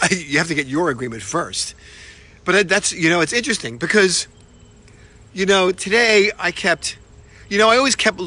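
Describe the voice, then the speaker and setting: A man with a New York accent. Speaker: motivational speaker. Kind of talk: motivational talk. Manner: casual, repetitive with many fillers.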